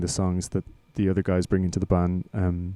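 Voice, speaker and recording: With an Irish accent, a man speaks in a very deep, low voice with a dark, mellow tone and monotone, flat intonation, in a very clean, dry, close recording with a silent background and no echo. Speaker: lead singer and songwriter in a band. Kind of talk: casual interview chat. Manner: halting, many repetitions.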